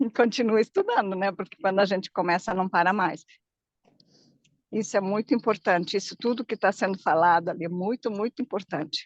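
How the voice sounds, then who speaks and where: A woman speaks at a fairly quick pace in a medium pitch with ordinary pitch variation, in a normal speaking voice. The sound is dry and close, with no echo. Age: 60s. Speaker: viewer joining live, emotional therapist. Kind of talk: casual chat. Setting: video call while walking outdoors.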